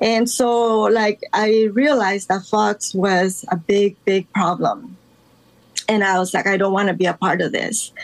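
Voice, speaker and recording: A woman speaks at a fairly slow pace in a medium pitch, keeping her loudness very even. Her intonation is fairly even, and there is noticeable background noise. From Los Angeles, raised from age 10; born in Guatemala. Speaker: artist. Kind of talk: casual interview.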